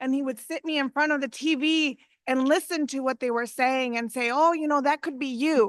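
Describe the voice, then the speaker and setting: Against a quiet background, a woman with a Spanish accent and a high pitch talks at a fairly quick pace, the sound dry and close with no echo. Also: fairly even intonation. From Chicago suburbs, Illinois. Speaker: local politician. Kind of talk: panel discussion.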